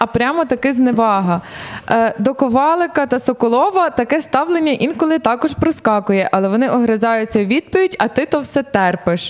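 A woman with a Russian accent and a high pitch, lively intonation, very even loudness and a moderate pace, over noticeable background noise. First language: Russian (speaking Ukrainian). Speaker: stand-up comedian. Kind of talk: casual chat.

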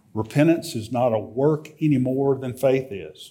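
Audible room echo surrounds a man speaking very slowly at a medium pitch in a dark, mellow tone. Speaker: lay preacher. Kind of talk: sermon. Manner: halting, many filler words.

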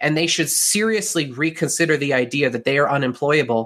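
With a Western Canadian accent, a man talks at a fairly quick pace in a bright, sharp tone and a fairly high pitch. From Canada (Calgary, Alberta). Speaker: digital marketing agency owner. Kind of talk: interview.

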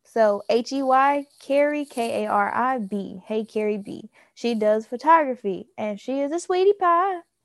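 With an American accent, a woman speaks in a high pitch, and the sound is dry and close with no echo. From US South. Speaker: podcast co-host. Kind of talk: casual chat.

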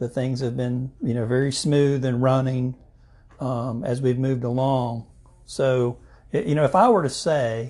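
Somewhat breathy and dark, mellow in tone, a man speaks at a medium pitch and a fairly slow pace with fairly even intonation. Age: 50s. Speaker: insurance agent and chamber board chairman. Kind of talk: casual interview.

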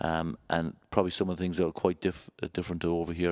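With an Irish accent and a very deep, low pitch, a man talks in a monotone, flat intonation, recorded very cleanly against a silent background with a dry, close sound and no echo. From Ireland. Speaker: rugby club head of medical services. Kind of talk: interview.

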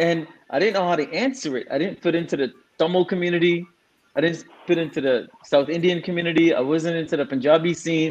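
A man's high-pitched voice at a very fast pace. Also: ordinary pitch variation. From Singapore, then Toronto (Scarborough). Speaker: DJ and entrepreneur. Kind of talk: casual chat.

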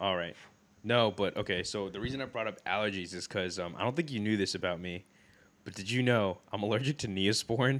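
Over a silent background in a very clean recording, a man with a fairly low voice and ordinary pitch variation talks very fast. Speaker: podcast co-host. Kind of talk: casual chat. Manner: rambling, filler words.

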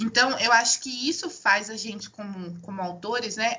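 This woman has a plain, everyday voice at a fairly high pitch. Her pitch variation is ordinary and her pace moderate. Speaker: podcast co-host. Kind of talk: casual chat.

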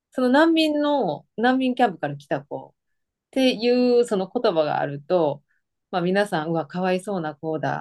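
At a moderate pace and medium pitch, a woman's voice makes very wide pitch swings against a quiet background. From Osaka, Japan. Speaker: nurse, guest. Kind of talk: interview, casual conversational. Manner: laughs often, chatty.

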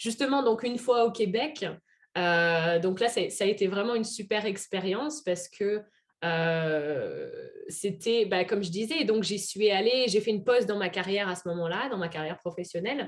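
A woman's plain, everyday voice at a medium pitch and moderate pace, with ordinary pitch variation. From France, Auvergne. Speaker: French teacher and expatriate. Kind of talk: interview.

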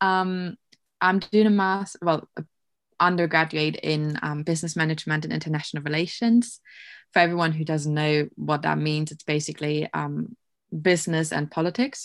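In a very clean recording with a silent background, a woman with a German accent speaks at a moderate pace in a very deep, low voice with fairly even intonation. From Germany. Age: 20s. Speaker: university student. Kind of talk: casual chat.

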